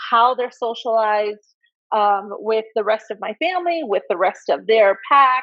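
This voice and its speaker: At a moderate pace, a woman speaks with very wide swings in pitch. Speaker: dog breeder and interview host. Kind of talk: video interview chat. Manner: loud, flamboyant.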